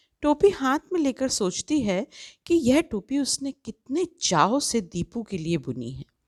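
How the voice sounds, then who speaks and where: A woman with a high pitch speaks with very wide pitch swings. The sound is dry and close with no echo, in a very clean recording with a silent background. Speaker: voice-over artist. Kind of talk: children's story narration.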